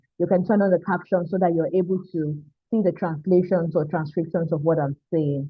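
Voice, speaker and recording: The speaker talks at a fairly quick pace with a Nigerian accent. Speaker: mental health therapist and coach. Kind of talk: online mentorship talk. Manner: animated.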